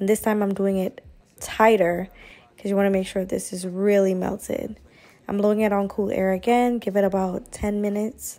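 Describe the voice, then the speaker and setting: Her pitch medium and her intonation monotone and flat, a woman speaks in a dark, mellow tone. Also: moderate pace. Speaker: beauty YouTuber. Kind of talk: tutorial.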